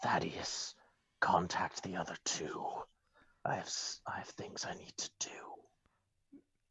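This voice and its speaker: A put-on character voice in a whisper, very slow, with long, frequent pauses. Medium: actual play. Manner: formal, clipped.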